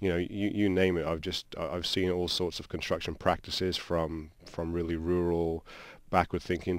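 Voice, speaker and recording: A man with a British accent speaks in a very deep, low pitch and a monotone, flat delivery. His moderate pace comes through on a very clean recording with a silent background. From England, Shropshire (Shrewsbury). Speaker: construction company founder. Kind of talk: radio interview. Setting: radio studio. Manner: halting, many repetitions.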